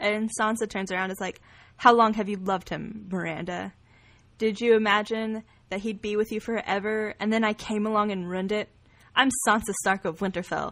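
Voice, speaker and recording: The speaker has an American accent and talks at a fairly quick pace in a monotone, flat intonation over a quiet background. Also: woman, medium pitch for a woman. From Texas, Hunt County. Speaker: podcast co-host. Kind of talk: casual chat.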